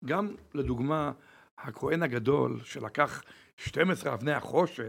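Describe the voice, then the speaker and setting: A man speaks with lively intonation and vocal fry. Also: very clean recording, silent background. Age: 70s. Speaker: crystal shop owner. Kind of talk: interview.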